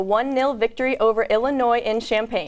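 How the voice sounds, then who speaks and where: Fairly high in pitch, a woman speaks in a plain, everyday voice with ordinary pitch variation. The recording is very clean, with a silent background. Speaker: sports anchor. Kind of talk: TV sports news anchoring.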